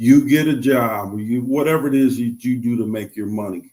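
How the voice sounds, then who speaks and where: A man's ordinary speaking voice, medium in pitch with ordinary pitch variation, at a moderate pace with an American accent. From Chicago, US Midwest. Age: 60s. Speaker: financial advisor, stroke survivor. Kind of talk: interview.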